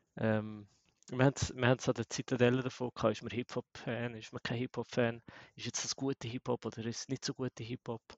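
With a Swiss accent, a man at a medium pitch talks at a fairly quick pace in a monotone, flat intonation. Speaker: bitcoin community organizer. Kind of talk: casual panel discussion.

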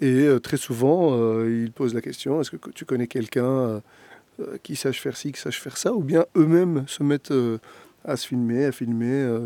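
Speaking at a moderate pace and medium pitch, a man has a dark, mellow tone, ordinary pitch variation and big swings in loudness, recorded dry and close with no echo. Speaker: podcast co-host. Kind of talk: interview.

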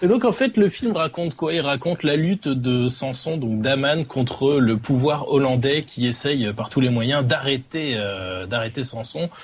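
A man with a fairly high pitch and lively intonation speaks at a fairly slow pace with hardly any pauses, over noticeable background noise. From Dunkirk, northern France. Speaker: film segment presenter. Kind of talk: casual chat.

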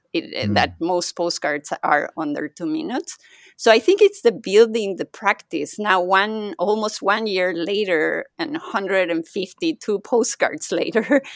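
In a Spanish accent, a woman speaks at a fairly slow pace with a medium pitch and lively intonation, in a dry, close sound with no echo. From Mexico. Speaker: podcaster and yoga teacher. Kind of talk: casual chat. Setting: video call.

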